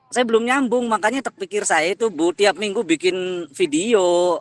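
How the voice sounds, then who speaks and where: A man with a Cirebon accent speaks at a fairly slow pace with lively intonation. The sound is dry and close, with no echo. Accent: local northern Cirebon dialect. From Cirebon area, West Java (Kapetakan). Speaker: teacher and university student. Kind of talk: class discussion. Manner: forceful, pushy.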